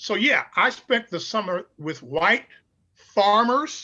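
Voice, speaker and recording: Raised and projected, a man's voice with an American accent has a bright, sharp tone, lively intonation and a fairly slow pace. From Chicago, US Midwest. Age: 70s. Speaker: pastor. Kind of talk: interview.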